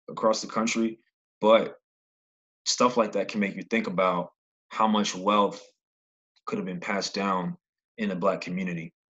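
Over a quiet background, a man speaks with an American accent at a moderate pace. His pitch is fairly low, with ordinary variation. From New York (Brooklyn). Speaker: podcast host, aspiring real estate investor. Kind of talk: solo podcast monologue. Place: home room. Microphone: studio mic.

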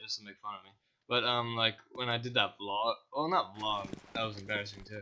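Here is a man with a normal speaking voice. He keeps a medium pitch and a fairly quick pace. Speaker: gaming YouTuber. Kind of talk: casual banter while gaming. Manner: profane, joking.

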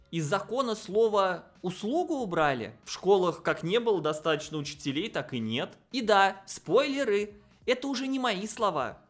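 Faint music plays in the background as a man speaks at a moderate pace in a high voice with big pitch swings.

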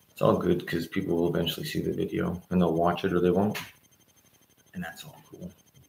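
A quiet man speaks at a fairly quick pace with big swings in loudness, over light background noise and audible room echo. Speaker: political commentator. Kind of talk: livestream monologue. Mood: critical political commentary. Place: home room. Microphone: webcam.

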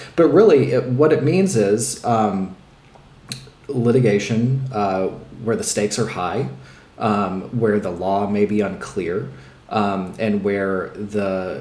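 A man speaks very slowly with a fairly low pitch and ordinary pitch variation. Audible room echo surrounds his voice. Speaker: remote guest. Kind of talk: interview answer. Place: home room.

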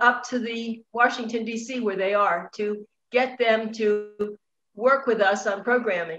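Fairly high in pitch, a woman talks at a fairly slow pace with fairly even intonation. It is an unremarkable speaking voice, with light background noise. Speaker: online show host. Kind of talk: interview. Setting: video call. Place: home room. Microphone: video call.

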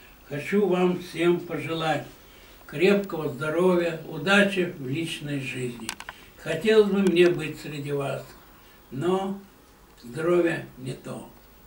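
With audible room echo, a man speaks at a very slow pace and a fairly high pitch, using ordinary pitch variation, big swings in loudness, and long, frequent pauses. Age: 80s. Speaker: retired newspaper photographer. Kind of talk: recorded video greeting. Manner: formal. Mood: warm, calm, sentimental. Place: home room. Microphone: camera far.

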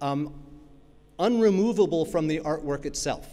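Using an American accent, a man talks at a moderate pace in a fairly high pitch. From New York (Brooklyn). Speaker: academic keynote speaker on copyright. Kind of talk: keynote lecture. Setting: stage with audience. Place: hall. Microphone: podium.

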